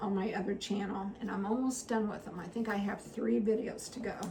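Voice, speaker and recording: A woman speaks at a fairly high pitch. Audible room echo and noticeable background noise fill the recording. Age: 60s. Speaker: retired teacher and homesteading vlogger. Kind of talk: casual chat.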